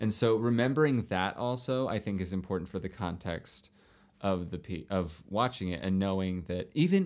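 With an ordinary speaking voice, a man talks at a moderate pace and a fairly low pitch, his pitch varying in an ordinary way. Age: 30s. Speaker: actor and dancer, podcast guest. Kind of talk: casual chat.

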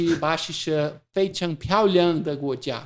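A man talks at a fairly high pitch. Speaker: company CEO. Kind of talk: interview.

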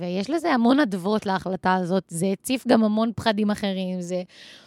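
A woman with an unremarkable speaking voice talks at a moderate pace and medium pitch. Her pitch varies in an ordinary way, and the sound is dry and close with no echo. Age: 20s. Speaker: podcast host. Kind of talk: casual chat.

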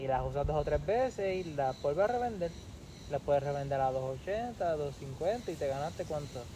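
A man with a plain, everyday voice, fairly high pitch, lively intonation and a fairly slow pace. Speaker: podcast co-host. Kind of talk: casual chat.

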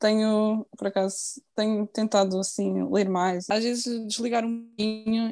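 A woman's plain, everyday voice, at a fairly slow pace with fairly even intonation, in a dry, close sound with no echo. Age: 20s. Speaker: nurse. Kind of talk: casual interview.

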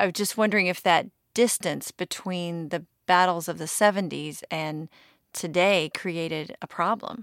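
In a very clean recording with a silent background and a dry, close sound with no echo, a woman with a plain, everyday voice speaks at a moderate pace and a fairly low pitch, her intonation fairly even. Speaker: medical journalist. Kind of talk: interview conversation.

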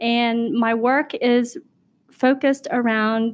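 This is a woman with an ordinary speaking voice and a fairly high pitch. Her intonation is fairly even, and the background is quiet. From Vietnam, raised in US. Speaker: education professor. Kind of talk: interview conversation, personal storytelling.

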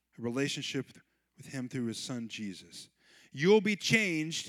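On a very clean recording with a silent background and a dry, close sound with no echo, a man speaks in an animated tone with lively intonation. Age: 40s. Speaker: pastor. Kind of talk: sermon. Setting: church.

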